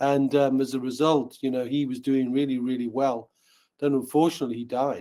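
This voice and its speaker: A man's dark, mellow, medium-pitched voice with a Newcastle accent, fairly quick and monotone, with flat intonation. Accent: Newcastle (Geordie). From northern England, Newcastle upon Tyne. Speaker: wealth educator, company founder. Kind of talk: podcast interview.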